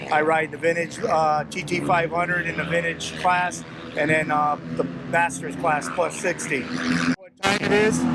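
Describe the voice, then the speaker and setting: Noticeable background noise is present. A man talks fairly slowly. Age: 60s. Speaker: race promoter and racer. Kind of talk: casual interview at race pits. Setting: outdoors at a racetrack. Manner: halting with many uh fillers.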